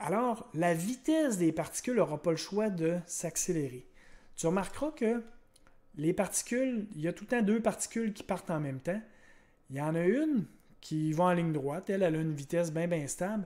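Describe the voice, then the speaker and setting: A man with a Quebec accent talks at a moderate pace and a high pitch. His tone is dark and mellow, his intonation lively. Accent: Québécois French. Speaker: science teacher. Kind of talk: lecture. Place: home room. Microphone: webcam.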